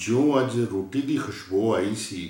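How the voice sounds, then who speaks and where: With lively intonation, a man speaks in a dark, mellow tone at a fairly low pitch, sounding somewhat breathy. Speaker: poet reading his own poem. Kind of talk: poetry reading.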